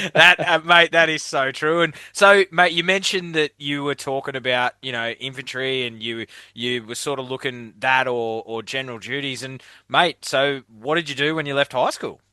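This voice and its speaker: A man's fairly high, bright, sharp voice with an Australian accent and ordinary pitch variation, dry and close with no echo against a quiet background. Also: moderate pace. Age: 30s. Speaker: podcast host. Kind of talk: casual chat.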